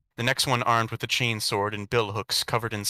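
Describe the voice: The recording consists of plain reading aloud.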